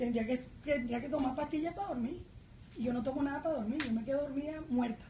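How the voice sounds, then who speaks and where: With a Venezuelan accent, a woman speaks at a fairly quick pace in a high pitch with ordinary variation, and audible room echo surrounds her voice. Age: 60s. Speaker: journalist and parliamentary candidate. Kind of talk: political debate. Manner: animated.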